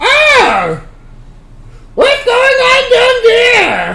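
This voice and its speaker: Shouting in a put-on character voice, the speaker hits an extremely high pitch. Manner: muffled, surprised.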